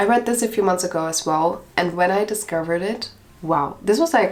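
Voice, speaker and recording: Fairly low female voice at a fairly quick pace with ordinary pitch variation, over noticeable background noise. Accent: non-native. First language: not English. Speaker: book reviewer. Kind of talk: casual reaction video, reading reviews aloud. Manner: animated.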